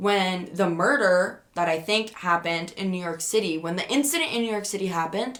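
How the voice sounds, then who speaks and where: Loud and animated, a woman speaks at a medium pitch with a bright, sharp tone. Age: 20s. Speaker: podcaster. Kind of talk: casual storytelling.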